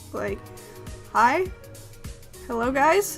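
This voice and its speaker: The speech has an American accent, lively intonation and a fairly slow pace. Music plays in the background. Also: woman. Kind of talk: casual talk to camera, accent tag. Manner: hesitant, rambling.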